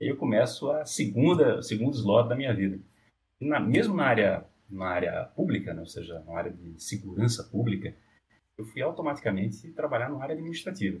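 Very wide pitch swings mark the somewhat breathy voice of a man. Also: medium pitch for a man. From Brazil, Northeast (Olinda, Pernambuco). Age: 40s. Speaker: business executive. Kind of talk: interview.

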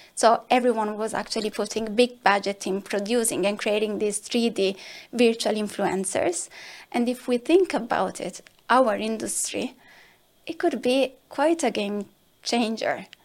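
A woman with an Italian accent at a fairly high pitch, fairly slow pace and ordinary pitch variation, on a very clean recording with a silent background. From southern Italy. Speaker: marketing director. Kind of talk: podcast interview.

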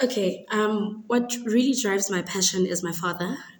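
This woman speaks at a moderate pace with a medium pitch and ordinary pitch variation. Noticeable background noise runs under her voice. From South Africa, Eastern Cape (Queenstown). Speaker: dietetics student. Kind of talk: interview.

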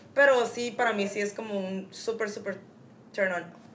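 Moderately paced speech with audible room echo and noticeable background noise. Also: woman. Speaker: podcast co-host. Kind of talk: casual chat.

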